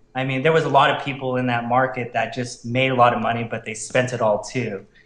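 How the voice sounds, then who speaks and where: There is noticeable background noise and audible room echo. A man talks at a medium pitch and a fairly quick pace. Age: 30s. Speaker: online marketer. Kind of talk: interview.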